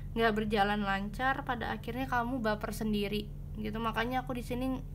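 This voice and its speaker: A soft-spoken woman with a fairly high pitch, moderate pace and fairly even intonation, plus audible room echo. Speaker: tarot reader. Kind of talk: tarot pick-a-card reading. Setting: home at night. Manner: soft-spoken, quiet; casual, chatty.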